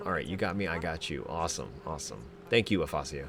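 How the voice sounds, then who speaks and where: A man talks at a very fast pace with very wide pitch swings. Noticeable background noise runs behind him. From USA. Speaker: game replay commentator / streamer. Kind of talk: live game commentary with chat interaction. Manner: casual, filler-heavy (um, like).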